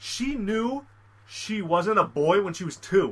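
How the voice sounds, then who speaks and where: A man speaks in a raised, projected voice at a high pitch. His tone is animated. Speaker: podcast co-host. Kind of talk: casual chat.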